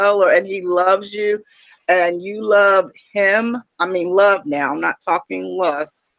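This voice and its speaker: Her voice is a plain, everyday voice, medium-pitched for a woman, moving at a fairly slow pace with ordinary pitch variation. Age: 60s. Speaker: YouTube dating talk show host. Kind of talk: casual conversation. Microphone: echo on her end.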